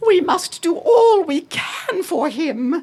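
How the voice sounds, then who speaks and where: A woman puts on a character voice at an extremely high pitch, swinging very widely up and down while speaking at a very slow pace. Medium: read story. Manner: warm, decisive.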